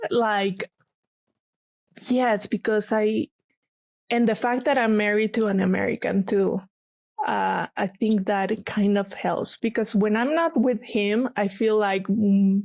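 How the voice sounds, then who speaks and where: Speaking in a Mexican accent, a woman with a fairly high pitch keeps her loudness very even and her intonation fairly even, leaving long, frequent pauses. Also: fairly slow pace. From Mexico, Guadalajara. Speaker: paper artist. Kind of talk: casual interview chat.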